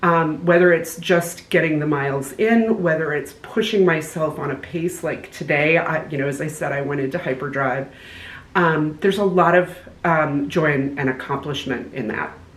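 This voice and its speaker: Noticeable background noise and audible room echo surround a woman's very deep, low voice. She speaks at a moderate pace with ordinary pitch variation. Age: 60s. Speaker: hiker vlogger. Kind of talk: casual chat.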